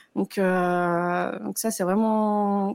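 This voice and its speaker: Her intonation stays fairly even as this woman talks. The recording is very clean, with a silent background. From northern France. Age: 30s. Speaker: cancer survivor. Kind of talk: testimony.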